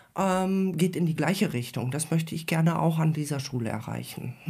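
A woman's dark, mellow voice with ordinary pitch variation, on a very clean recording with a silent background. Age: 50s. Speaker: science teacher, teachers' council member. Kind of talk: casual interview. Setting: studio with headphones.

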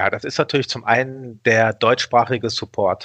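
A man speaks at a medium pitch. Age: 40s. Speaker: online broker executive. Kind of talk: interview. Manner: hesitant with many fillers.

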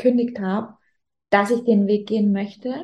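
Somewhat breathy, a woman speaks at a moderate pace with a fairly high pitch and fairly even intonation. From Upper Bavaria, Germany (Rosenheim). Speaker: Instagram business coach, former fashion influencer. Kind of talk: casual interview. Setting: video recording, also on YouTube.

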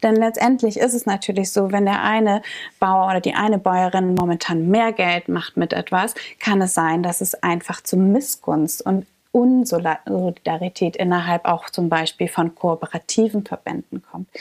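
With an unremarkable speaking voice, a woman of medium pitch talks at a moderate pace with ordinary pitch variation, on a very clean recording with a silent background and a dry, close sound with no echo. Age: 20s. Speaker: coffee roaster staff member. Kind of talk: explainer monologue.

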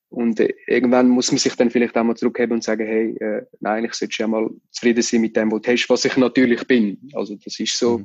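At a fairly quick pace, a man talks at medium pitch in a monotone, flat delivery. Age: 20s. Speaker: magician. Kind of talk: interview.

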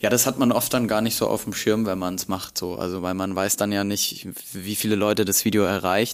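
With a slight Bavarian accent, a man talks at a fairly quick pace in a fairly low pitch and fairly even intonation. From Bavaria, Germany. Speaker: content creator. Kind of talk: casual interview. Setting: university archive room.

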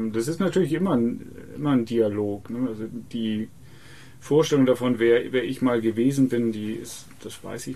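The speaker has a dark, mellow tone, ordinary pitch variation and a moderate pace. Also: man. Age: 50s. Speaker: author and poet. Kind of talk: interview. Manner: halting, many fillers and repetitions.

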